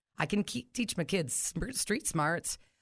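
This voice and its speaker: In a very clean recording with a silent background, a woman with a plain, everyday voice and fairly low pitch speaks at a moderate pace with lively intonation. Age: 40s. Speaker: coworker of the host, mother of two. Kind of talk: casual chat.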